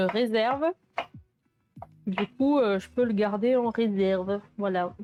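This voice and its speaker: Music plays in the background as a woman speaks at a fairly slow pace with long, frequent pauses. Her pitch is fairly high and her intonation fairly even. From southern France, Sète. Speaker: cooking streamer. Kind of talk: casual live stream chat while cooking. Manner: hesitant, many fillers.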